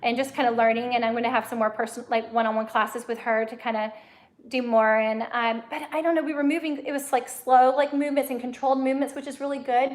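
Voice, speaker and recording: At a very fast pace, a woman with an American accent speaks in a high pitch with fairly even intonation. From US South, Mississippi. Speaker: blind YouTuber. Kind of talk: casual chat. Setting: livestream.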